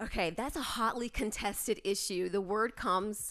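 A woman with an unremarkable speaking voice and ordinary pitch variation keeps a moderate pace. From North Carolina, Greensboro/Burlington area. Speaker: historic preservation advocate. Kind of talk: interview.

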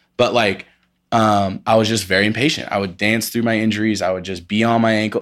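Captured on a very clean recording with a silent background, a man with an ordinary speaking voice and an American accent talks at a fairly quick pace, his fairly low pitch held in fairly even intonation. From Indiana, US Midwest. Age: 20s. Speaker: dancer. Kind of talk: casual chat.

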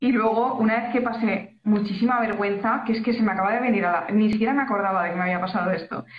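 Audible room echo surrounds a woman who talks very fast at a fairly high pitch with fairly even intonation. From Valencia region, Spain. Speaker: illustrator and graphic designer. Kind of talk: casual chat.

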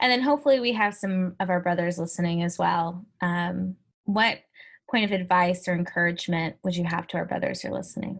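A somewhat breathy woman's voice at medium pitch, fairly quick pace and ordinary pitch variation. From US Midwest, Ferguson, Missouri (St. Louis area). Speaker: podcast host, youth ministry organization founder. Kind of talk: casual interview chat.

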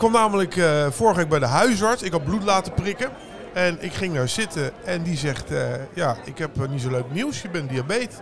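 Very wide pitch swings run through speech at a moderate pace over noticeable background noise. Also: man, high pitch for a man. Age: 40s. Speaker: podcast co-host. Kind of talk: casual chat.

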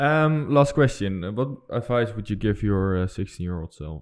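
Against a quiet background, a man with a fairly low voice speaks at a moderate pace with lively intonation. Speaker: student podcast host. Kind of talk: interview. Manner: hesitant, many fillers.

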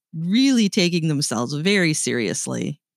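A woman with a slight Canadian accent on a very clean recording, silent background, dry and close with no echo. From Canada. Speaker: podcast host. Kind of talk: casual chat.

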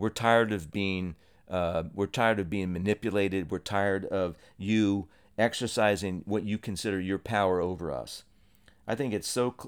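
A man with an American accent and a fairly low voice, fairly even intonation and a moderate pace, in a very clean recording with a silent background. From Ohio. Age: 60s. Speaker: podcast host. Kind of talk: solo monologue podcast.

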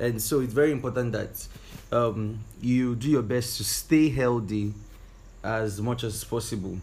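A man with a somewhat breathy voice at medium pitch speaks at a fairly slow pace with fairly even intonation. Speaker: podcast co-host. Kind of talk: casual chat.

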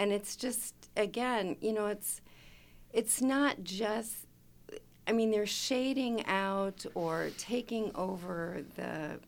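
A woman with an American accent, vocal fry, and a very slow pace. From Chicago. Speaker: chapter president, retired data analyst. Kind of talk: casual radio interview. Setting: studio.

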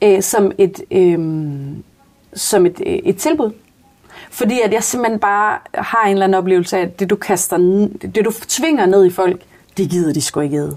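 Against noticeable background noise, a woman of medium pitch speaks at a fairly slow pace with ordinary pitch variation and long, frequent pauses. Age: 30s. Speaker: social worker. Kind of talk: casual interview. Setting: small conversation booth at workplace. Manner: hesitant, many fillers.

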